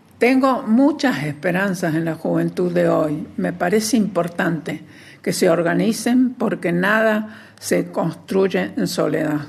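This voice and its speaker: Her voice fairly low and marked by vocal fry, a woman speaks very slowly with lively intonation. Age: 90s. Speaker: human rights activist. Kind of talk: testimony.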